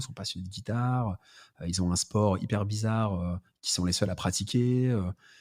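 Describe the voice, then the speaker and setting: A man speaks with a fairly low pitch and an unremarkable speaking voice. He keeps a moderate pace with ordinary pitch variation. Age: 30s. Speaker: entrepreneur and content creator. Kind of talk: casual podcast interview.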